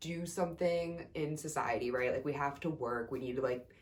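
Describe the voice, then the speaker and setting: A woman speaks in an animated tone at a moderate pace. Noticeable background noise runs behind her. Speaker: yoga instructor and massage therapist vlogger. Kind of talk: casual vlog. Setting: home room.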